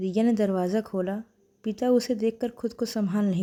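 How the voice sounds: Natural reading voice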